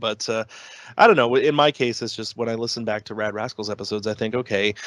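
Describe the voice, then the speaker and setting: A man talks at a very fast pace in a Canadian accent. The sound is dry and close, with no echo. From Canada. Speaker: podcast host, guest. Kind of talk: casual chat.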